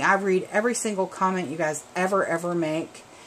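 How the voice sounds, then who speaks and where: A woman speaks at a moderate pace. She has a Southern US accent. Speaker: craft video maker. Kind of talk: craft tutorial. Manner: casual, chatty with fillers.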